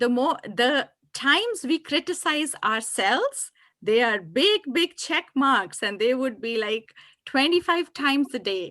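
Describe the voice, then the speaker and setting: Captured on a very clean recording with a silent background and a dry, close sound with no echo, a woman talks at a fairly slow pace in a raised, projected, high voice with a bright, sharp tone and very wide pitch swings. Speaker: meditation and mindfulness coach. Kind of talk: workshop Q&A discussion.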